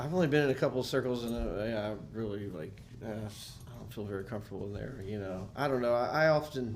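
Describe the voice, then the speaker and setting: With an American accent, a man speaks at a medium pitch and a very fast pace with hardly any pauses, ordinary pitch variation and big swings in loudness, and audible room echo surrounds his voice. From US South, Nashville. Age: 40s. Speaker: musician. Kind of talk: casual chat.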